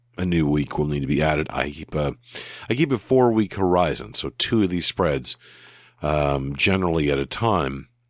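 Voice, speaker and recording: Heard in a very clean recording with a silent background, a man with a very deep, low voice speaks at a moderate pace with lively intonation. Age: 40s. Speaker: solo podcaster. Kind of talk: casual monologue. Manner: halting.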